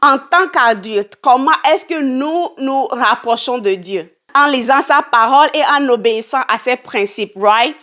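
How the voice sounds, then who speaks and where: Her intonation is lively and her pitch high. This woman speaks at a very slow pace. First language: English (speaking French). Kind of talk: teaching monologue. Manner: hesitant.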